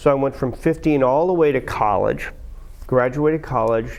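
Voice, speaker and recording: A man talks in a normal speaking voice. His voice sits at a medium pitch and shows ordinary pitch variation. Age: 60s. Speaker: blues musician. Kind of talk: interview. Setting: studio. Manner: casual.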